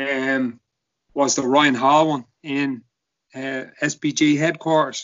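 A man in a Dublin accent, fairly high in pitch, monotone and flat, at a very slow pace. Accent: Dublin Irish. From Ireland, Dublin (Kilbarrick). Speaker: podcaster and jiu-jitsu practitioner. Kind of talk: casual chat.

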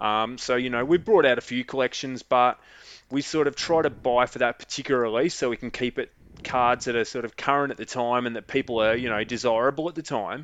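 Over a quiet background, a man with an Australian accent speaks at a fairly quick pace with fairly even intonation. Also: medium pitch for a man. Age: 40s. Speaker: trading card business owner. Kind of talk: casual chat.

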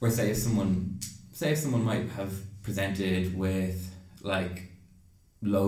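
In an Irish accent, a man with a very deep, low pitch and a dark, mellow tone speaks somewhat breathily with fairly even intonation, and room echo is audible. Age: 20s. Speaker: junior doctor in psychiatry. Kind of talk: casual interview. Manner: halting.

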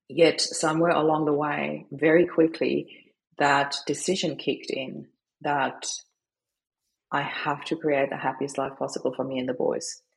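A woman talks at a moderate pace with a German accent. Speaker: grief coach, widow. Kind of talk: interview. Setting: remote call.

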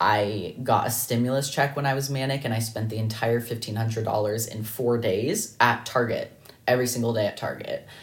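An American-accented man at a medium pitch sounds somewhat breathy, speaking at a moderate pace in a monotone, flat way with hardly any pauses. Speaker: podcast host. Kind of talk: solo podcast monologue about mental health.

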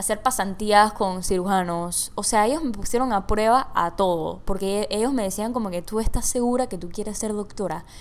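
In an animated tone, a woman speaks at a moderate pace with a medium pitch and ordinary pitch variation. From Panama. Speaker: podcast host. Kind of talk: casual monologue. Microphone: large microphone close by.

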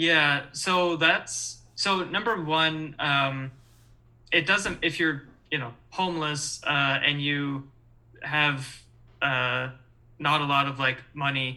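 A man with an American accent, fairly high in pitch and bright, sharp in tone, very slow with fairly even intonation. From Michigan, East Lansing. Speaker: former university student and sports fan. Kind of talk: casual chat. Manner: halting, many fillers.

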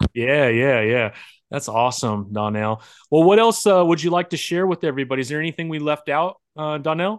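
Over a quiet background, a man with an ordinary speaking voice talks at a fairly quick pace with a fairly high pitch and lively intonation. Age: 40s. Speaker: comic book interview host and indie comic creator. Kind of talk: casual interview chat.

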